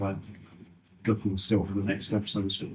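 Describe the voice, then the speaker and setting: A man speaks in a fairly low, somewhat breathy voice. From Britain. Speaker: car designer. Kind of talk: audience Q&A. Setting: talk at a car meet-up with audience. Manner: halting.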